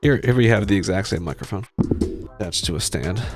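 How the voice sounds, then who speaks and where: Music plays behind a man who mumbles at a very deep, low pitch with very wide pitch swings. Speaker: tech reviewer. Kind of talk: tutorial. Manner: mumbling; halting.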